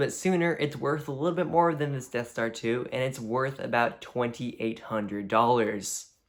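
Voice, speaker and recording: His pace is fairly quick, with hardly any pauses. The man's pitch is medium and its variation ordinary. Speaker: YouTuber ranking toy sets. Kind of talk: casual video commentary. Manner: fast; filler-heavy casual speech.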